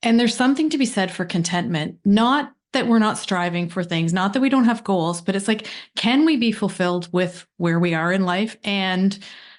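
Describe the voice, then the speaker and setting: A woman with a Canadian accent has an unremarkable speaking voice at a medium pitch. She speaks at a moderate pace with lively intonation over a quiet background. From Canada. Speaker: podcast host. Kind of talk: interview conversation.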